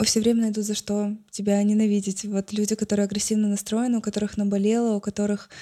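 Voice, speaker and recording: A woman with a medium pitch speaks in a dark, mellow tone and a flat, monotone delivery, the sound dry and close with no echo. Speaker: blogger. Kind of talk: casual chat.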